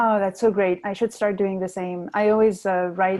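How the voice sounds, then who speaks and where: Against a quiet background, a woman with a non-native accent speaks at medium pitch and a moderate pace, her dark, mellow tone held in monotone, flat intonation. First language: not English. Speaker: storytelling show host. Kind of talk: interview. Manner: hesitant, many fillers.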